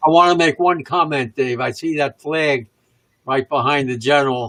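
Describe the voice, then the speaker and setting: The sound is dry and close with no echo. A man with a fairly high pitch and a bright, sharp tone speaks at a moderate pace with ordinary pitch variation. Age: 90s; old. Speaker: war veteran.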